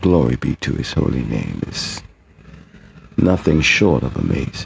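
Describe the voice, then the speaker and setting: A man speaks at a very slow pace. Noticeable background noise comes through a dry, close sound with no echo. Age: 60s. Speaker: poet and writer. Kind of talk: personal testimony.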